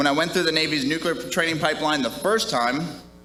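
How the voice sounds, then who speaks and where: Music plays in the background as a man speaks with a Midwestern accent. There is audible room echo. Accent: Midwest. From US Midwest, Minnesota. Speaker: retiring navy officer. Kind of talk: retirement speech.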